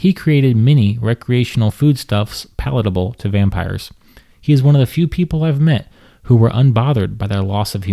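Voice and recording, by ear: Here a passage is read aloud in a natural voice.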